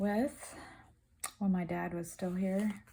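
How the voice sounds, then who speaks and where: A woman speaks softly. Her voice is somewhat breathy. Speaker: crafter video creator. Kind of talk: casual craft update chat. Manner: soft-spoken, trying to speak up; hesitant, many fillers.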